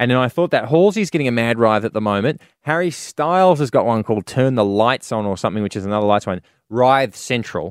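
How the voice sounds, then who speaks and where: Recorded dry and close with no echo against a silent background in a very clean recording, a man with an Australian accent speaks very fast at a medium pitch with lively intonation. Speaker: comedian, co-host. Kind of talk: casual chat.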